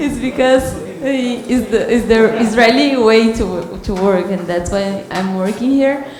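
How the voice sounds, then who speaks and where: At a fairly slow pace, the speech comes through with audible room echo and noticeable background noise. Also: woman, fairly high pitch for a woman, ordinary pitch variation. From Brazil. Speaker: program participant, recruiter. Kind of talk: audience comment.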